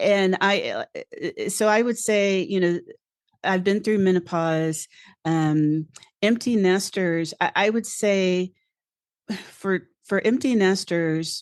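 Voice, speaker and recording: A woman's medium-pitched voice at a very slow pace, with ordinary pitch variation, dry and close sound without echo, and a quiet background. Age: 60s. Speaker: resilience coach. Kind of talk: interview. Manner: halting.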